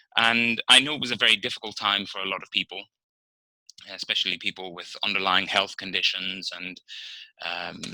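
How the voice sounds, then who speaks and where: Using a fairly low, bright, sharp voice with ordinary pitch variation, a man speaks with big swings in loudness and long, frequent pauses in a dry, close sound with no echo. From Northern Ireland. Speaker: interpreter trainer giving practice speech. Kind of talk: practice speech for interpreting students. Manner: conversational with fillers.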